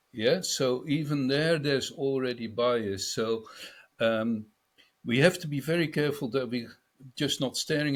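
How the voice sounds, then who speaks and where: On a very clean recording with a silent background, a man talks at a moderate pace in a medium pitch with ordinary pitch variation. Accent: Dutch. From Netherlands. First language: Dutch. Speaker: business speaker on a panel. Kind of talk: panel discussion.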